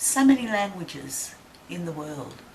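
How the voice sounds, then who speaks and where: A woman with an Australian accent talks at a very slow pace, her pitch swinging very widely. Room echo is audible, and background noise is noticeable. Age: 70s. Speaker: interviewee sharing reflections. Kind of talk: personal reflection to camera.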